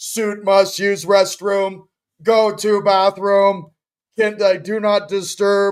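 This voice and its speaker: Putting on a character voice, a man speaks very slowly at a high pitch. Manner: dumb, comedic, lumbering.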